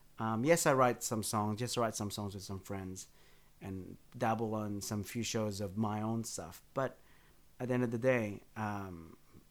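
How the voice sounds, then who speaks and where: Speaking at a fairly slow pace with an Australian accent, a man uses a medium pitch and ordinary pitch variation. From Western Sydney, Australia. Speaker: bassist and musical director. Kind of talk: casual interview. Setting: home studio. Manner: halting.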